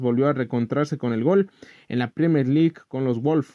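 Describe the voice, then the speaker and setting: Speaking at a moderate pace, a man uses a fairly high pitch with ordinary pitch variation. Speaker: podcast host. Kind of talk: casual news commentary. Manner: hesitant, many fillers.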